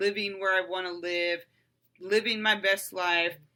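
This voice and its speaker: The woman's tone comes across bright and sharp. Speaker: podcaster. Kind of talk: personal testimony monologue.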